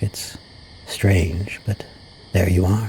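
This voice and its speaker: A soft-spoken man with a calm tone and fairly low pitch talks at a very slow pace. Noticeable background noise sits behind him. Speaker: VTuber storyteller. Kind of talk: soft-spoken audiobook reading. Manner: soft-spoken, calm.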